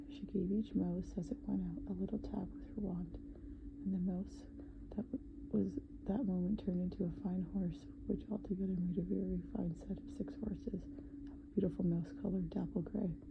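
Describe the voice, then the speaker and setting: The speaker is soft-spoken and keeps to a moderate pace. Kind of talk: sleep story, bedtime story reading. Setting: ASMR recording.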